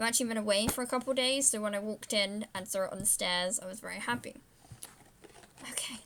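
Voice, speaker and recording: A woman speaks fairly quickly with a British accent and noticeable background noise. Her pitch is fairly high and her intonation fairly even. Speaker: vlogger. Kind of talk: unboxing video. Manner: loud; casual, rambling. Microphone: laptop camera mic, low quality.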